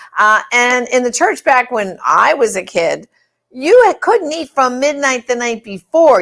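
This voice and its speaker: A woman's high-pitched voice at a moderate pace. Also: very clean recording, silent background. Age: 60s. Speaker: talk show host. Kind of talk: live talk show interview. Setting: live broadcast. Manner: conversational, halting.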